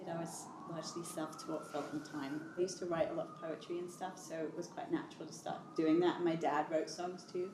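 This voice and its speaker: Over noticeable background noise, a woman with a British accent races along at a very fast pace with hardly any pauses, using a fairly low pitch and a monotone, flat intonation. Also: big swings in loudness. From London. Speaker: singer-songwriter. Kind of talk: interview answer.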